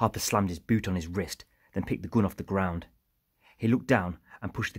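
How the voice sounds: The clip has a natural reading voice. The background is quiet.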